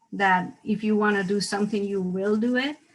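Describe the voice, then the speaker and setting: A woman's fairly high-pitched voice with a Mexican accent. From Mexico, Mexico City. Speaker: dentist. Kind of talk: interview.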